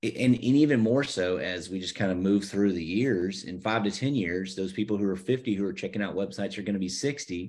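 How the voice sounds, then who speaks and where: In an unremarkable speaking voice with an American accent, a man talks at a fairly quick pace with hardly any pauses, a fairly low pitch and ordinary pitch variation, over a quiet background. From US South, Savannah, Georgia. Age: 40s. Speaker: church website designer. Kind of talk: casual interview chat.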